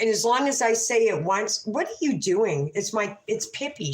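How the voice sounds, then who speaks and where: A woman with an unremarkable speaking voice and a fairly high pitch talks at a moderate pace with lively intonation. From Canada. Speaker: livestreamer. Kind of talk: casual livestream chat.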